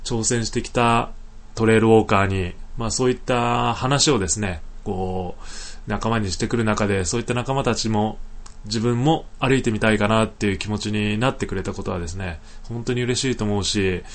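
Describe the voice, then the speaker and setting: In an ordinary speaking voice, a man talks at a fairly quick pace. His pitch is fairly low, with ordinary variation. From Niigata, Japan (Sanjo). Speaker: podcaster, environmental volunteer. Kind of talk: casual solo talk. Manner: relaxed, many filler words.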